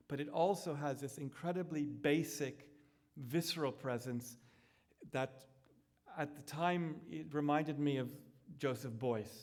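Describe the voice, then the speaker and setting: The audio carries audible room echo. A man speaks at a fairly high pitch with ordinary pitch variation. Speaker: architect giving a public lecture. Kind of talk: lecture. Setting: lecture hall with projected slides. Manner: self-aware of pacing, slightly slow.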